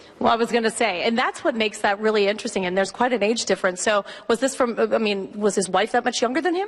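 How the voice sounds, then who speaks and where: A woman with a fairly high pitch talks at a very fast pace with hardly any pauses, very even loudness and ordinary pitch variation, over noticeable background noise. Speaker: TV news reporter. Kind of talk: live TV field interview. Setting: museum gallery, live broadcast. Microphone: voice echoing in the room.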